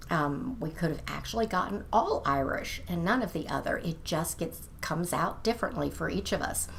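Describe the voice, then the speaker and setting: A woman speaks at a moderate pace with audible room echo around her voice. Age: 60s. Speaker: lifestyle vlogger. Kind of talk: casual video monologue. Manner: conversational, with fillers.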